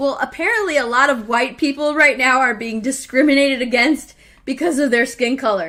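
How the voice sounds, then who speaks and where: Over noticeable background noise, a woman with an American accent speaks at a moderate pace, high-pitched and animated, with lively intonation. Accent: slight Texas twang, comes out sometimes. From Texas. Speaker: live stream show host. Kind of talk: casual chat.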